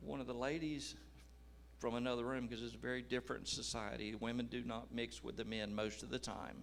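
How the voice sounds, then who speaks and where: In a room with audible echo, a man with an American accent talks at a fairly quick pace. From United States. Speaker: missionary. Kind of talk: testimony.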